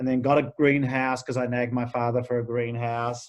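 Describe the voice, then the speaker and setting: A man with an Australian accent and a medium-pitched voice, against a quiet background. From Australia, Melbourne (Vermont, outer east). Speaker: garden designer and author. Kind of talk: interview. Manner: halting, with repeated false starts.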